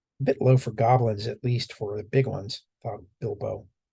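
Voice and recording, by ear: The surroundings are quiet. The text is read aloud in a natural voice.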